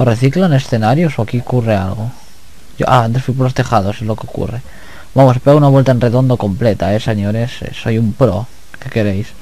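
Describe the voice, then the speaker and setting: A man at a fairly quick pace, medium in pitch, with ordinary pitch variation. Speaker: gaming YouTuber. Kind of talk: let's play commentary. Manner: relaxed.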